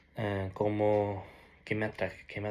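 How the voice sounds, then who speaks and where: This man's voice sits fairly low. He speaks very slowly. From Norway (Peruvian family). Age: 20s. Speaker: ex-Jehovah's Witness sharing his story. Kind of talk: personal testimony. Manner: halting, with many restarts and fillers.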